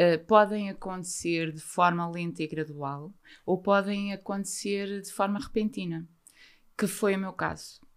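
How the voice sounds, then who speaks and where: Using a normal speaking voice, a woman of medium pitch talks at a fairly slow pace with fairly even intonation and big swings in loudness, on a very clean recording with a silent background. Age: 50s. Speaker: mental health author. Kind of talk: interview testimony.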